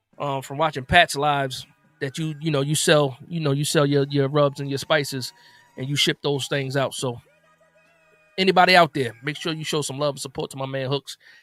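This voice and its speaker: The sound is dry and close, with no echo and music playing in the background. Someone talks at a fairly quick pace with an American accent. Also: man, fairly high pitch for a man. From New Jersey, with summers in Alabama. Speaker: sports streamer. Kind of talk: casual live stream chat. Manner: animated.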